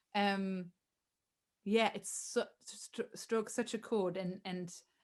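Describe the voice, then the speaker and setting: On a very clean recording with a silent background, a woman speaks at a medium pitch and a fairly slow pace with fairly even intonation. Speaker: singer-songwriter and choir director. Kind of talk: interview conversation. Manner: loud; halting.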